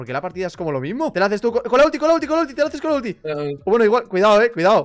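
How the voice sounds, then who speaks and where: Speaking very fast, a man with a high voice swings his pitch very widely. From Spain. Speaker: gaming youtuber. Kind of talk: casual gameplay commentary. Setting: voice chat while gaming. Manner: animated. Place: home room. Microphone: headset.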